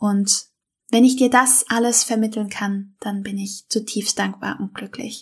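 A woman's fairly high, somewhat breathy voice with fairly even intonation, at a fairly slow pace, over a silent background in a very clean recording. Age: 30s. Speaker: health podcaster, endometriosis patient. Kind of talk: podcast intro monologue.

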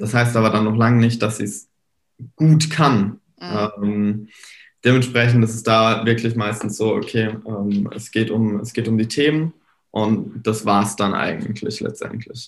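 This man's pitch is medium. He talks at a fairly slow pace. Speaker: social media marketing entrepreneur. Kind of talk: casual chat. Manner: frequent filler hesitations.

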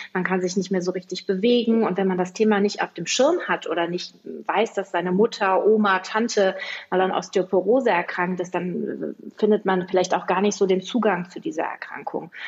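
At a moderate pace and with fairly even intonation, this is an unremarkable speaking voice. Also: woman, medium pitch for a woman. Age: 40s. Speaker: health project organizer. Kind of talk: interview.

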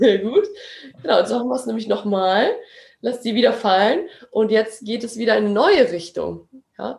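Long, frequent pauses break up a woman's moderately paced speech. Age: 20s. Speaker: actress and acting teacher. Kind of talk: interview; guided exercise.

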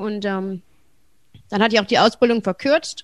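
A woman's fairly high voice at a moderate pace, over a quiet background. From Germany, Wuppertal. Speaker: stand-up comedian. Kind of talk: casual interview.

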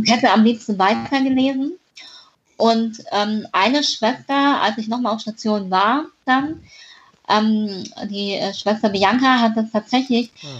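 The voice is somewhat breathy, moving at a very slow pace with ordinary pitch variation. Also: woman, fairly high pitch for a woman. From northern Hesse, Germany (near Kassel). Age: 20s. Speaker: author with a congenital heart defect. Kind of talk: interview.

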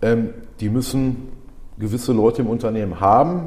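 A man's voice over noticeable background noise. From Germany, Ruhr area (Dorsten). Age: 40s. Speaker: body shop manager. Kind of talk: interview. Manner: hesitant, many fillers.

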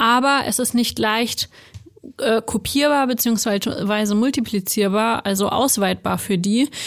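A woman with an unremarkable speaking voice talks at a fairly slow pace and fairly high pitch with fairly even intonation. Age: 20s. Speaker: HR analyst. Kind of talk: casual chat.

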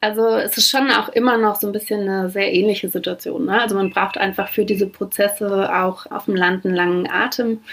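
Over noticeable background noise, a woman speaks at a fairly quick pace with hardly any pauses. Her medium pitch carries fairly even intonation. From Brandenburg, Germany. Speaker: founder and director of a think tank. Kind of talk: interview.

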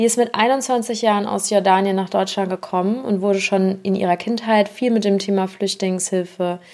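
A woman's plain, everyday voice, medium in pitch, at a fairly slow pace. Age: 30s. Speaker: podcast host. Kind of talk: scripted intro; interview.

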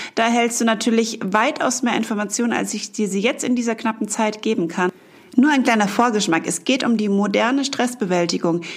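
A woman with a gentle, warm tone and fairly high pitch talks at a fairly quick pace, with ordinary pitch variation and noticeable background noise. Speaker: mental and emotion coach, meditation guide. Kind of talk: guided meditation. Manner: gentle, warm, soft-spoken.

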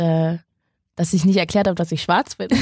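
An ordinary speaking voice from a woman, fairly low in pitch, with fairly even intonation at a fairly quick pace, in a dry, close sound with no echo. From northern Germany, Schleswig-Holstein. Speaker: TV presenter and journalist. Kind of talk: casual interview.

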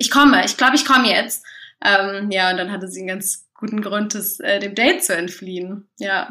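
The voice is a woman's, with a bright, sharp tone. Her pace is moderate. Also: medium pitch for a woman, ordinary pitch variation. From Göttingen, Germany. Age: 20s. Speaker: student. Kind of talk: voice message self-introduction; casual chat.

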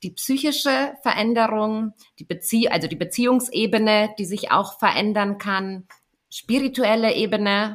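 A normal speaking voice comes from a woman with a fairly high pitch. She goes at a fairly slow pace with ordinary pitch variation. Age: 30s. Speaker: doula. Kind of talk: casual chat. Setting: video call.

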